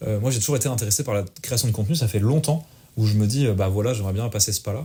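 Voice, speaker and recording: In a very clean recording with a silent background, a man talks at a very fast pace, somewhat breathy, with a dark, mellow tone and ordinary pitch variation. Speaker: podcast co-host and streamer. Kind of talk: casual chat. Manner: poor articulation.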